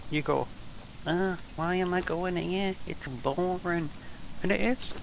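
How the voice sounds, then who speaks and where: Noticeable background noise accompanies a man with a British accent. His pitch is fairly high. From England. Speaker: game streamer. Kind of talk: casual gaming livestream commentary.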